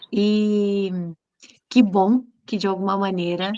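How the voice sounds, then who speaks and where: A woman speaks very slowly at a medium pitch. Her intonation stays monotone and flat. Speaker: psychoanalyst and lecturer. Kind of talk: online lecture discussion. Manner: gentle.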